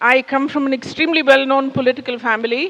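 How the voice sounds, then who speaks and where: The sound is dry and close with no echo as a woman speaks at a high pitch. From India. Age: 60s. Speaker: public speaker. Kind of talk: talk to an audience. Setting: stage with audience. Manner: conversational.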